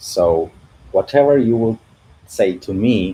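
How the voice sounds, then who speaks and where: A man's fairly low, somewhat breathy voice in a Russian accent. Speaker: CG artist and YouTuber. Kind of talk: livestream Q&A. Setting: livestream from living room. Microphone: echo in room.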